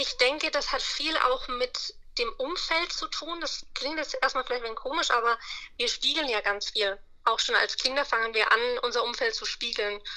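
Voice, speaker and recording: High-pitched female speech at a moderate pace, its pitch varying in an ordinary way. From Upper Franconia, Bavaria (Bayreuth). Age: 20s. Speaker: money mindset coach. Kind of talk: interview.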